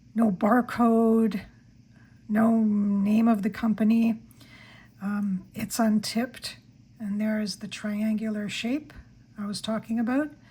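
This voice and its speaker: A woman speaks very slowly in a monotone, flat intonation, with long, frequent pauses and a fairly high, somewhat breathy voice. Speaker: stationery YouTuber. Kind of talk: product haul review. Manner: hesitant, with fillers.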